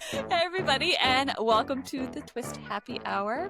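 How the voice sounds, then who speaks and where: A high-pitched woman's voice over music in the background. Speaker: podcast co-host. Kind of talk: casual conversational podcast talk.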